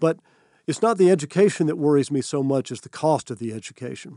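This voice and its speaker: This man speaks with an American accent at a fairly quick pace, his pitch fairly high and his tone dark and mellow. The background is quiet. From US South, North Georgia. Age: 60s. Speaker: college president. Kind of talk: interview.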